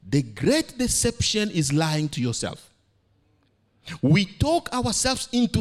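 The man talks at a very slow pace, with very wide pitch swings. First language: not English. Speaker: preacher. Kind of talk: sermon. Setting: church, speaking to a congregation.

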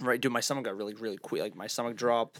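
In a Boston accent, a man speaks with a medium pitch and monotone, flat intonation on a very clean recording with a silent background. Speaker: podcast co-host. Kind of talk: casual chat. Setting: studio.

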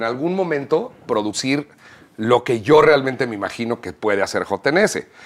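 At a moderate pace, a man with an ordinary speaking voice talks at a medium pitch with lively intonation. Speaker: musician and producer. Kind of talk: casual chat.

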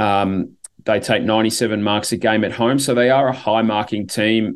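A speaker with an Australian accent shows ordinary pitch variation over a quiet background. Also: man. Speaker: podcast host and football fan. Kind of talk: casual chat. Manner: hesitant, filler words.

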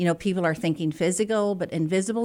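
Her intonation lively, a woman speaks at a fairly low pitch. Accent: American. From Northern Ireland, Belfast. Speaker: manufacturing workforce expert. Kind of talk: interview.

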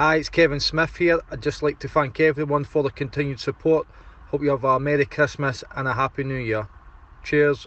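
This speaker talks at a fairly quick pace in a Scottish accent, keeping the intonation fairly even. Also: man, fairly high pitch for a man. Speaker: football player. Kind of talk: casual interview answers.

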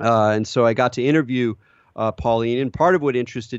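With an American accent, a man talks at a fairly quick pace. His pitch is medium. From California. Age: 40s. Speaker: podcast host. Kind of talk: interview; scripted narration. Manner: halting.

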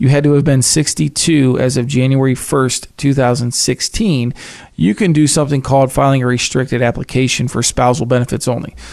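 A plain, everyday voice at a moderate pace, with ordinary pitch variation and very even loudness. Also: man, medium pitch for a man. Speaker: financial advisor. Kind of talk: casual chat.

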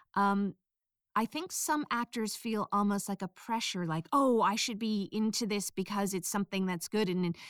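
A woman's voice with ordinary pitch variation, on a very clean recording with a silent background and a dry, close sound with no echo. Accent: American. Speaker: audiobook narrator. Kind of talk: interview about audiobook industry, advice.

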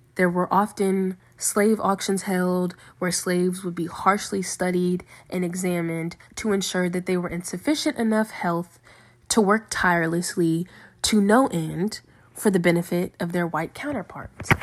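With an American accent and a normal speaking voice, a woman of medium pitch talks at a moderate pace with fairly even intonation on a very clean recording with a silent background. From Virginia (Lynchburg area). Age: young. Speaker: college student. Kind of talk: class presentation, partly scripted.

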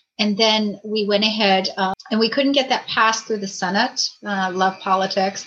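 With a normal speaking voice, a woman talks at medium pitch and a moderate pace, her intonation fairly even and hardly any pauses. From Maine, US New England. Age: 50s. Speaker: navy veteran and doctor. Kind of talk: interview, casual chat.

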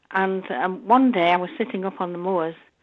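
A woman speaks with a Yorkshire accent. Her pitch sits in the medium range. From northern England, North Yorkshire. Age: 70s. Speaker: nun and Braille teacher. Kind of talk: interview.

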